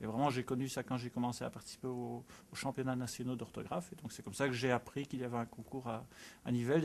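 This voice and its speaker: A man's very fast delivery at medium pitch with fairly even intonation. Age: 40s. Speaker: spelling competition enthusiast. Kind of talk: interview. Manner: halting.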